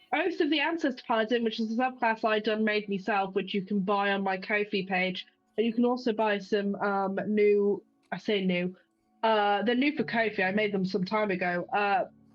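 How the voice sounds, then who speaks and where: With music in the background, a woman speaks at a fairly high pitch with ordinary pitch variation and very even loudness. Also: moderate pace. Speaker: tabletop roleplay player. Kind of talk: casual chat.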